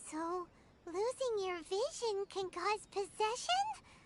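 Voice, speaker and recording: This put-on character voice is squeaky and bubbly, with an extremely high pitch. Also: fairly slow pace. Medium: video game. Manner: bubbly, hesitant fillers.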